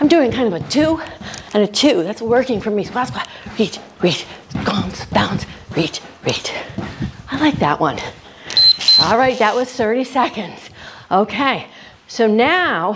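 A woman at a fairly slow pace, with long, frequent pauses and loud background noise. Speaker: fitness instructor. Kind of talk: workout instruction. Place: garage.

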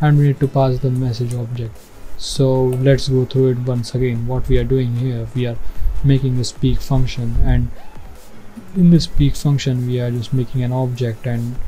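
A man speaks at a moderate pace in a monotone, flat intonation. Faint music plays in the background. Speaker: coding tutorial host. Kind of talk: tutorial. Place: home room. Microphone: headset.

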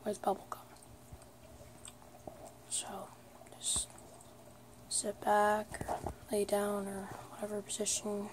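Someone whispers at a fairly slow pace. The voice is soft-spoken. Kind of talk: ASMR video. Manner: whispered, soft.

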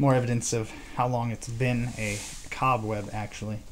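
Some light noise runs in the background. Against it, a man talks. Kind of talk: exploration commentary. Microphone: phone near.

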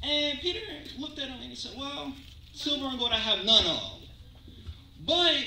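Fairly slow and animated, the speech carries audible room echo and light background noise. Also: man. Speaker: preacher. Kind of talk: sermon with call-and-response. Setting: church. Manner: animated, exclamatory, rhythmic pulpit delivery with interjections; audience-interactive, pausing for amens. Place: church. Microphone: pa.

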